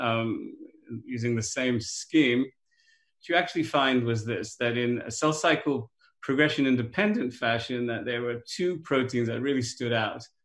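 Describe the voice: Audible room echo surrounds a man's voice. His pitch is medium, with ordinary pitch variation.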